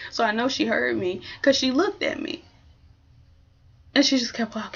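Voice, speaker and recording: A soft-spoken woman's high, animated voice. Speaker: vlogger. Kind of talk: casual chat.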